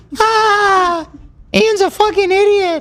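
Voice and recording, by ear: The speaker uses a put-on character voice. The pitch is extremely high.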